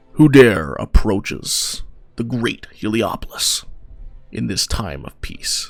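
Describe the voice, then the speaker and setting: A man's booming, put-on character voice, shouting at a fairly slow pace with big swings in loudness over music in the background. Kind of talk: archaic, formal. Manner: booming, shouting, grand.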